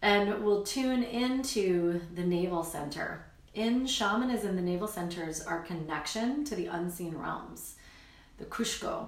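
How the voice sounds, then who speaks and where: With audible room echo and noticeable background noise, this woman talks at a fairly slow pace. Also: medium pitch for a woman, lively intonation. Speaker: spiritual healer. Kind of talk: guided meditation. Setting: live stream.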